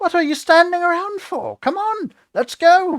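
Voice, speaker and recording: Putting on a squeaky character voice, a man speaks at an extremely high pitch and a moderate pace. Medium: read story. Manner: blunt, brusque.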